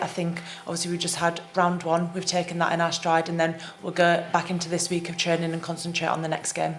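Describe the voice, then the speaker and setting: Noticeable background noise and audible room echo surround a woman with an English accent. Her fairly low voice moves at a fairly quick pace. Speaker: rugby team captain. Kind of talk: press conference.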